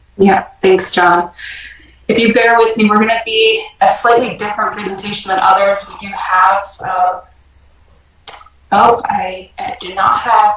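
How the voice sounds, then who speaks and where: Over noticeable background noise, a woman speaks at a fairly slow pace. Her medium-pitched voice is monotone, with flat intonation. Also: long, frequent pauses. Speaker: nonprofit representative. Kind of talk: presentation.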